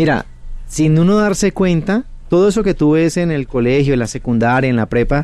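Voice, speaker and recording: A man talks at a moderate pace in an unremarkable speaking voice. His pitch varies in an ordinary way. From Colombia, Cali. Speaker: math teacher and educational youtuber. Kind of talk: interview. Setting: radio studio.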